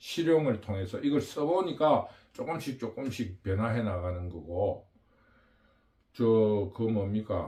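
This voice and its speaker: Lively intonation from a man at medium pitch, somewhat breathy, with a dark, mellow tone. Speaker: political commentary channel host. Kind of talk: political monologue. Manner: halting, with fillers.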